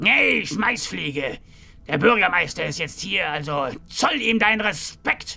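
Shouting in a raspy, put-on character voice, a man speaks at a fairly slow pace with a fairly high pitch and very wide pitch swings. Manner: shouting, aggressive.

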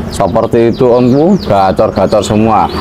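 Over music in the background, a man speaks in an upbeat tone with lively intonation. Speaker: bird seller reviewer. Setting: at a bird shop stall, video recording. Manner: fast, rhythmic sales patter, upbeat and persuasive, repeating "om" to address buyers. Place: shop. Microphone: phone near.

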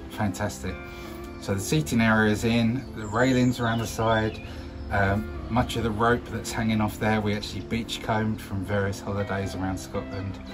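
Clear music plays in the background while the speech moves at a moderate pace. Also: man. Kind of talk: casual vlog chat. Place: bar.

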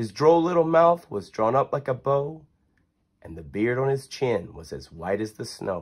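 A man sings his words in a sing-song, animated, cheerful tone at a fairly high pitch and moderate pace, with very wide pitch swings. The background is quiet. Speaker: reader of a children's book. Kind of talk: poem read aloud to children, storybook narration. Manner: sing-song rhythmic, animated and cheerful, bedtime-story cadence. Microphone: phone near.

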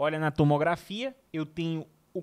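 Fairly slow speech over a quiet background. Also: man. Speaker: radiology teacher. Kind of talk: lecture. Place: studio. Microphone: studio mic.

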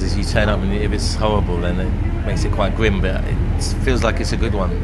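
Loud background noise runs behind a man speaking at a moderate pace. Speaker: rock singer and musician. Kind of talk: casual backstage interview. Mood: relaxed, reflective. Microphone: handheld.

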